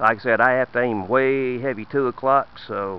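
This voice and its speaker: A man speaks with a Southern US accent and ordinary pitch variation. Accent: noticeable Southern US. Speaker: shooting video maker. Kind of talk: casual demonstration.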